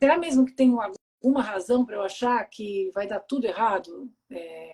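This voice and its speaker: At a moderate pace, a woman speaks at a fairly high pitch with lively intonation, a dark, mellow tone and big swings in loudness. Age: 40s. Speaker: live stream host with bipolar disorder. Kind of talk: casual live interview chat. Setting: live stream video call.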